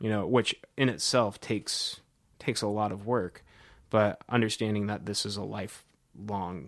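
In an unremarkable speaking voice, a man with an American accent and a fairly low pitch shows ordinary pitch variation on a very clean recording with a silent background. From US Midwest, Cedar Rapids, Iowa. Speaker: jazz professor and saxophonist. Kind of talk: interview. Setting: office.

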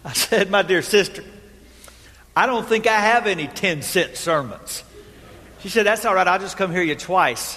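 Over noticeable background noise, a man speaks in a raised, projected voice at a high pitch and a moderate pace, with ordinary pitch variation and long, frequent pauses. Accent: American. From Texas. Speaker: pastor. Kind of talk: sermon. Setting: church.

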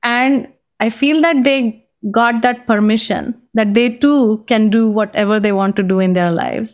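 Fairly high-pitched female speech with an Indian accent, fairly slow, with ordinary pitch variation. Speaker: career coach and author. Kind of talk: casual interview. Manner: reflective, laughs often.

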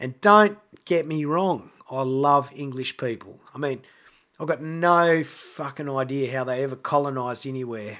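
A man with an Australian accent speaks at a moderate pace. His voice is fairly high and bright and sharp, with ordinary pitch variation. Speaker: podcast host. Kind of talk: scripted monologue. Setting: home recording.

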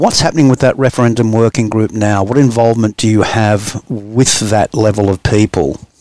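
With an Australian accent, a man speaks at a medium pitch with ordinary pitch variation and very even loudness, the sound dry and close with no echo. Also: moderate pace, hardly any pauses. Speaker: podcast host. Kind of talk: interview.

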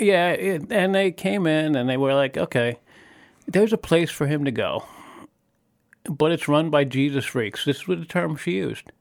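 A fairly high-pitched man with an American accent and lively intonation, at a moderate pace with long, frequent pauses, in a very clean recording against a silent background. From New York state (small-village county near NYC). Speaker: church member sharing life story. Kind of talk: interview testimony. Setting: studio. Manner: halting, many false starts.

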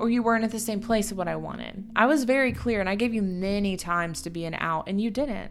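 A woman with a plain, everyday voice talks at a fairly quick pace and medium pitch, with ordinary pitch variation. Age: 20s. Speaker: podcast co-host. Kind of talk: casual chat.

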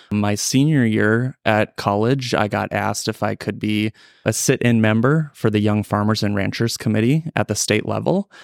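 In an Upper Midwest accent, a man talks at a moderate pace. The sound is dry and close, with no echo. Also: fairly low pitch for a man, fairly even intonation, very clean recording, silent background. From North Dakota, Ellendale area. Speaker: farmer and agricultural lender. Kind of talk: casual interview. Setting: conference hotel.

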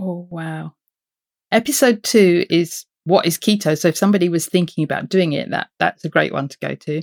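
A woman with a British accent and fairly low pitch speaks at a moderate pace, her loudness swinging widely while her pitch varies in an ordinary way, on a very clean recording with a silent background. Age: 50s. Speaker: podcaster. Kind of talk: casual interview chat.

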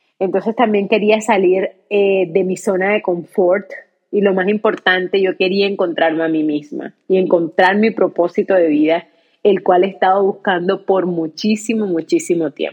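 A woman's medium-pitched voice at a moderate pace. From Colombia, Cartagena (Caribbean coast). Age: 30s. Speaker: podcast host. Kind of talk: personal monologue.

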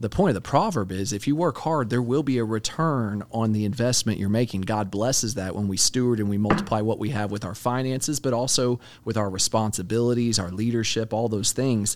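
Speaking at a fairly quick pace with hardly any pauses, a man with an American accent has an unremarkable speaking voice, medium pitch and ordinary pitch variation. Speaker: podcast co-host. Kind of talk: casual Bible discussion.

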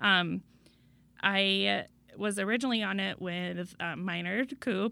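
Captured in a very clean recording with a silent background, a woman with an American accent speaks at a fairly slow pace. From Iowa. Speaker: school board president. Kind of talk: interview. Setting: studio.

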